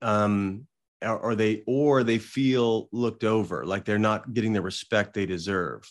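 A man with an American accent talks at a fairly slow pace in a fairly low pitch with fairly even intonation. It is an ordinary speaking voice, set against a quiet background. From southern Illinois, US Midwest. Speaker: executive coach. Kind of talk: casual interview.

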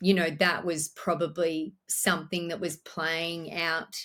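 A woman with an Australian accent talks at a fairly slow pace in a fairly low pitch. The recording is very clean, with a silent background. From Australia, Orange, New South Wales. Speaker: business owner. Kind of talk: interview.

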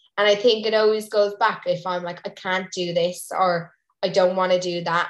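A woman of medium pitch, monotone and flat, at a moderate pace. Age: 20s. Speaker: Irish dancer and coach. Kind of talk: casual chat.

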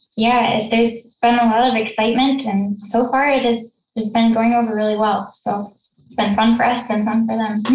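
A soft-spoken woman talks with monotone, flat intonation. Her loudness swings widely. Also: fairly high pitch for a woman, moderate pace. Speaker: sewing pattern designer and business founder. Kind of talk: casual interview.

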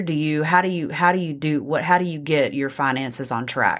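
On a very clean recording with a silent background, a woman with a Texan accent speaks with ordinary pitch variation. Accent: Texan, noticeable. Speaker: co-host, wife of the host. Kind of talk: casual podcast conversation.

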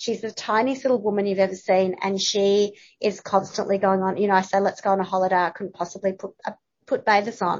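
A woman in an Australian accent at a very fast pace, medium in pitch, with monotone, flat intonation. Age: 50s. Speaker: journalist and content writer. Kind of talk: casual interview chat.

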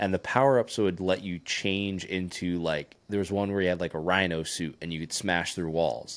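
A man speaks at a moderate pace with a very deep, low pitch, fairly even intonation and hardly any pauses, on a very clean recording with a silent background. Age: 30s. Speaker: podcast co-host, father. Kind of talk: casual chat.

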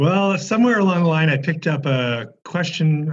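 A man's somewhat breathy voice with an American accent. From California, Bay Area. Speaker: religion professor. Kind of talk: interview conversation. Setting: video call.

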